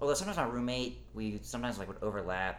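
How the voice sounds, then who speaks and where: A man speaks in a space with audible room echo. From Texas, Dallas suburbs. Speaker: podcast guest, former oil industry worker. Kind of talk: casual chat.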